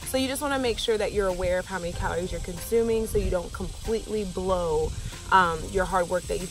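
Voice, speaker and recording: At a fairly quick pace, a woman speaks over faint background music, in a dry sound with no echo. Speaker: fitness vlogger. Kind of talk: casual vlog tips. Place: open country. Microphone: phone near.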